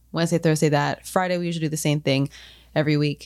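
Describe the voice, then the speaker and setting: A woman's very deep, low voice in a flat monotone at a very fast pace, in a very clean recording with a silent background. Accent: American. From Florida. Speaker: podcast host. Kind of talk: casual chat.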